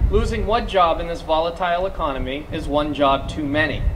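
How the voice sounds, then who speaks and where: A man speaks at a moderate pace with an American accent. Noticeable background noise and audible room echo are present. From Massachusetts. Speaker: small business advocacy coordinator. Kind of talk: rally speech.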